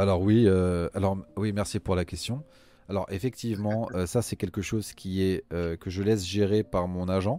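A man's dark, mellow voice at a fairly low pitch, with fairly even intonation and a moderate pace, on a very clean recording with a silent background. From France. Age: 30s. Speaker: executive recruiter and podcast co-host. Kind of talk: casual interview chat.

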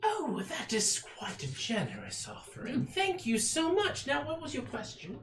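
A man uses a put-on character voice at an extremely high pitch, keeping a moderate pace with hardly any pauses. Clear background noise sits behind him. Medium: actual play. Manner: warm, eager, gently teacherly.

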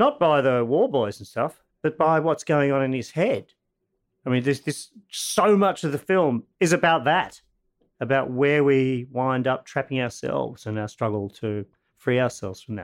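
A man speaks in an ordinary speaking voice at a medium pitch and moderate pace. His intonation is lively, on a very clean recording with a silent background. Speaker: sound designer. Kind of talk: interview.

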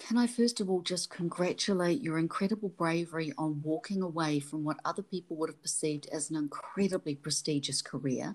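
With a New Zealand accent, a woman speaks at a fairly quick pace with hardly any pauses. Her pitch is fairly low, with ordinary variation. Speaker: podcast host. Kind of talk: casual interview.

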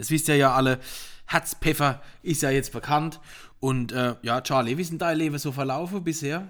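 A man's animated voice with a fairly high pitch, a Palatine accent and a moderate pace. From Palatinate, Germany (Rupertsberg). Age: 40s. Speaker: podcast host, wine sales and marketing. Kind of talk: casual chat. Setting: living room.

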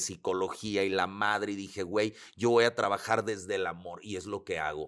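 A man with a Mexican accent speaks at a moderate pace in a fairly low pitch, his intonation fairly even, on a very clean recording with a silent background. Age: 40s. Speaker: holistic psychotherapist and speaker. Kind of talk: casual interview conversation.

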